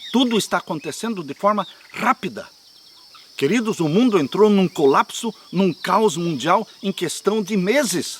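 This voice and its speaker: A man with a high pitch and lively intonation talks at a fairly slow pace, his sound dry and close with no echo despite noticeable background noise. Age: 70s. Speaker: pastor. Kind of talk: sermon. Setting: outdoors.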